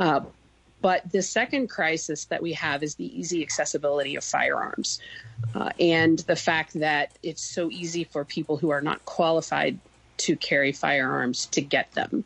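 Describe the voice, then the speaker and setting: Her voice is an unremarkable speaking voice: a woman at a fairly low pitch and a moderate pace, with ordinary pitch variation. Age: 40s. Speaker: gun violence prevention advocate. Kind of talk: radio interview.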